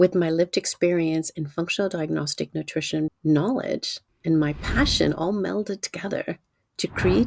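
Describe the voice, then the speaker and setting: A woman with a fairly low pitch and vocal fry speaks at a moderate pace with ordinary pitch variation. The sound is dry and close, with no echo. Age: 60s. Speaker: nutrition coach. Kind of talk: sales pitch. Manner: animated.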